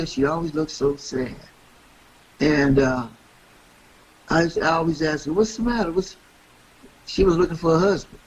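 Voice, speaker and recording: The delivery has a moderate pace with long, frequent pauses and ordinary pitch variation. Background noise is noticeable. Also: man, fairly high pitch for a man. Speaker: radio host. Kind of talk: interview answer.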